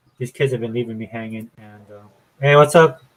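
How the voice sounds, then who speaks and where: The speaker goes at a very fast pace with fairly even intonation. The voice is somewhat breathy. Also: man. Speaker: show host.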